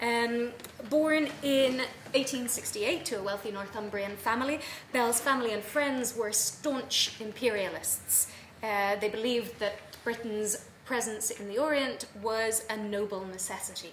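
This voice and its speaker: A woman with an Irish accent talks fairly slowly in a fairly high pitch with ordinary pitch variation, with light background noise and audible room echo. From Ireland. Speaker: academic, travel writing specialist. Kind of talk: conference paper reading. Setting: conference room with audience. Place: meeting room.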